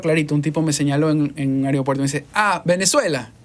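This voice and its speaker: With a plain, everyday voice, a man speaks fairly quickly at a fairly high pitch with fairly even intonation. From Ecuador. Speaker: podcast host and voice-over artist. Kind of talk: interview. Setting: studio.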